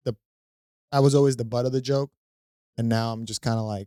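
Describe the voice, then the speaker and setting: In a Spanish accent, a man speaks at a medium pitch with a dark, mellow tone and fairly even intonation, in a dry, close sound with no echo. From Venezuela, then Fort Lauderdale, Florida from age seven. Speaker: comedian and real estate investor. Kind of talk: casual interview chat.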